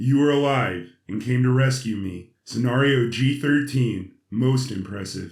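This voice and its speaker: Putting on a character voice, a man speaks at medium pitch and a fairly slow pace with hardly any pauses. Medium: audio drama. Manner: precise, calculating.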